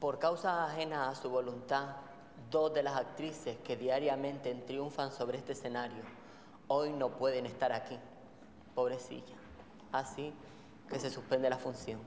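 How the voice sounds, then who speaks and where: A woman's very deep, low pitch in monotone, flat intonation, at a fairly slow pace with long, frequent pauses, amid light background noise and audible room echo. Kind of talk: theatrical monologue to audience. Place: stage.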